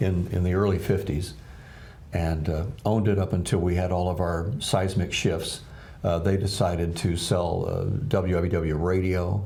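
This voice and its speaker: The speaker talks at a moderate pace with fairly even intonation and very even loudness. The room echo is audible, and background noise is noticeable. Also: man, very deep, low pitch for a man. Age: 60s. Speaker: TV news anchor. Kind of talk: casual interview chat.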